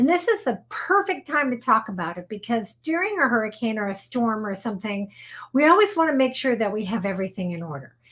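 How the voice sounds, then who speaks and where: A woman talks at a very fast pace, her fairly high voice swinging very widely in pitch. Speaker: attorney. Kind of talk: live show explainer. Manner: casual, conversational.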